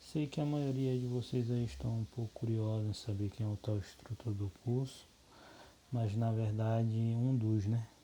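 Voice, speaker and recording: At a fairly slow pace, a man speaks with a dark, mellow tone at a medium pitch, somewhat breathy, with ordinary pitch variation and very even loudness. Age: 30s. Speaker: course instructor, soil lab technician. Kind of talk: lecture. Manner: halting.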